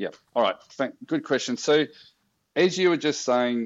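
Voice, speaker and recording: Lively intonation from a man with an Australian accent. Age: 50s. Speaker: social enterprise founder. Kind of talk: casual interview.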